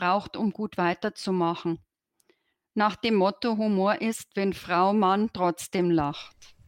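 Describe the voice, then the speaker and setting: A woman talks very slowly at a medium pitch with fairly even intonation, the sound dry and close with no echo. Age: 50s. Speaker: coach in training, engineering technician. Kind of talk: interview. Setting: virtual studio, remote call.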